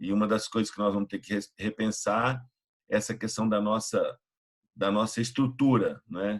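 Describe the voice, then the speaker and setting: The man's fairly low voice keeps a moderate pace and ordinary pitch variation. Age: 60s. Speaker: pastor and youth evangelist. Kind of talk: online mentoring talk.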